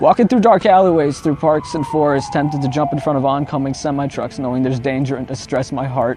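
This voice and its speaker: A man's intense voice at a fairly quick pace with ordinary pitch variation, over music in the background. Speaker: spoken word poet. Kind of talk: spoken word poetry performance. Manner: emotional, intense.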